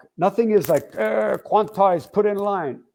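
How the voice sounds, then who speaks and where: Speaking in a New York accent, a man talks at a moderate pace in a high pitch. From Long Island, New York. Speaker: rock drummer. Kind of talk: interview. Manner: animated.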